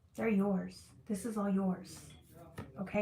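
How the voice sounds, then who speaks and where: A woman speaks at a medium pitch. There is noticeable noise in the background. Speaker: tarot reader. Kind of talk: live tarot reading stream. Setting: livestream with chat. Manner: fast; animated.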